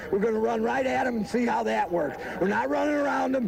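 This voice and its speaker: Noticeable background noise sits under a man with an American accent who talks at a very fast pace in an extremely high pitch. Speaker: high school football coach. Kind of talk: post-game interview. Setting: outdoors on football field.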